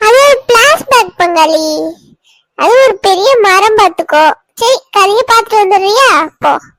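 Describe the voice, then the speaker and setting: This is a cartoonish character voice at an extremely high pitch. It moves at a fairly slow pace. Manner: chatty storyteller.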